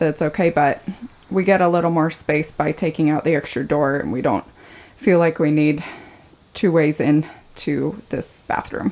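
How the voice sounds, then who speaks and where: A woman is speaking. She talks at a fairly slow pace. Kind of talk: casual vlog chat. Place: bathroom. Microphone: phone near.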